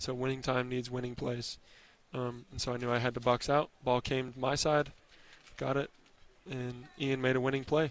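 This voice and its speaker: A man speaks in a flat monotone, with long and frequent pauses, over noticeable background noise. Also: medium pitch for a man, moderate pace. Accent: American. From US Northwest, Oregon/Idaho area. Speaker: college basketball player. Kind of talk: postgame interview.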